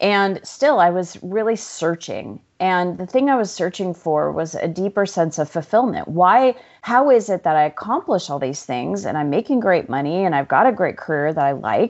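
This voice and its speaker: With an American accent and very wide pitch swings, a woman speaks with hardly any pauses. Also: medium pitch for a woman, moderate pace. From Arizona. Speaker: life coach and author. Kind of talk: interview conversation.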